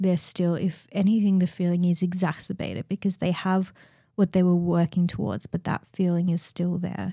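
A woman with a fairly low, dark, mellow voice speaks in a flat monotone at a moderate pace, somewhat breathy, in a dry, close recording with no echo and a silent, very clean background. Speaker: podcast host. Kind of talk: solo monologue.

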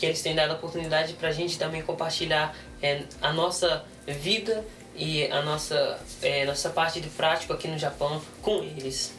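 A man's fairly high-pitched voice amid noticeable background noise. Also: fairly even intonation, moderate pace. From Brazil, raised in South Africa from age six. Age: 20s. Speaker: missionary trainee and interpreter. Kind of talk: interview with live interpreting.

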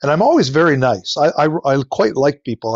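A man with a Canadian accent uses a normal speaking voice, fairly high pitch and ordinary pitch variation at a moderate pace. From Ontario, Canada. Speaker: veterinarian and flower farmer. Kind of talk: interview.

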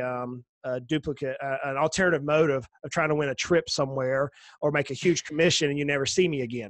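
A man with a Southern US accent speaks fairly quickly at a fairly high pitch. The sound is dry and close with no echo, over a quiet background. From US South. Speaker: financial planner. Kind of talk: casual interview.

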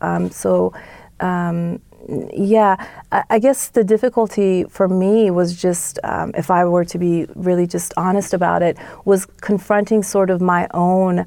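A woman with an American accent speaks very slowly, her medium-pitched voice dark and mellow in tone. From Iran, moved to US as child. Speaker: political science professor. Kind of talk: interview. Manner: frequent fillers and hesitations.

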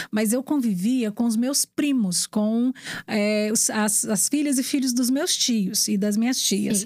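Somewhat breathy, this woman talks at a fairly slow pace with ordinary pitch variation. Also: fairly high pitch for a woman, very even loudness. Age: 40s. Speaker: radio presenter and journalist. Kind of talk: casual interview chat.

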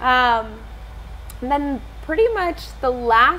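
A woman's voice carries audible room echo. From US South, South Carolina coast. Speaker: musician. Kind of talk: interview. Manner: halting.

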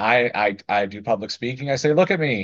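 A man with an American accent, a normal speaking voice, medium pitch and ordinary pitch variation, against a quiet background. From US South, small-town Florida. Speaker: building contractor and business owner. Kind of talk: interview.

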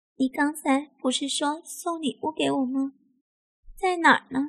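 A woman does a put-on character voice, high-pitched with a fairly bright tone and vocal fry. She speaks fairly slowly with fairly even intonation.

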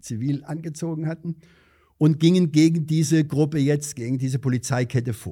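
A man's somewhat breathy, dark, mellow voice at a moderate pace, in a very clean recording with a silent background. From Hesse, Vogelsberg area (Angersbach). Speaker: retired district administrator and former border guard officer. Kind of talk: interview.

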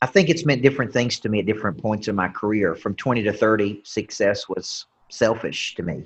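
Talking at a fairly quick pace with hardly any pauses, a man with a Southern US accent has a fairly low pitch, a somewhat breathy sound and ordinary pitch variation. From Tennessee. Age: 40s. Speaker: business coach and motivational speaker. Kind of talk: interview.

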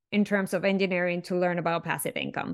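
On a very clean recording with a silent background, a woman speaks with a Spanish accent. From Venezuela. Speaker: chemical engineer and speaker. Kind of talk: interview conversation.

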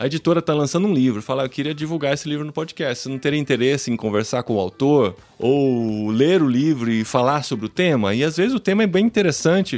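A very fast man with a fairly high pitch. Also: lively intonation, hardly any pauses. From Brazil, interior of São Paulo (Piracicaba). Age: 40s. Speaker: podcaster. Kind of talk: interview conversation. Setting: video call live stream from home office. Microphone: studio microphone.

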